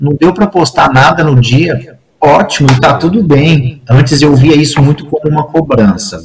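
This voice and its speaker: The delivery is fairly slow with hardly any pauses, lively intonation, and a somewhat breathy quality. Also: man. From Brazil, interior of São Paulo state (Franca). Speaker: recreation professional and leisure manager. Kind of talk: casual interview chat.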